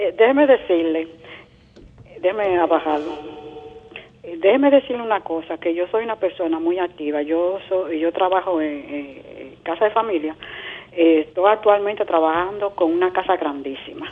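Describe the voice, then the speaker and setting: A woman speaks at a moderate pace with ordinary pitch variation. Noticeable background noise runs beneath her. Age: 70s. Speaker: caller. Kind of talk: call-in question. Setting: phone call.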